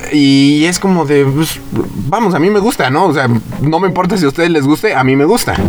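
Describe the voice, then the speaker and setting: A man speaks fairly quickly in a fairly high voice, with ordinary pitch variation and very even loudness. Noticeable background noise can be heard. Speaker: podcast co-host. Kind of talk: casual chat.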